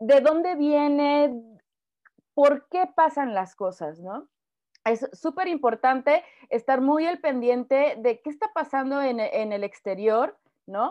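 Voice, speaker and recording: A woman with a high pitch and lively intonation speaks at a very slow pace. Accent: Mexican. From Mexico. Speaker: footwear designer and consultant. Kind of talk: interview.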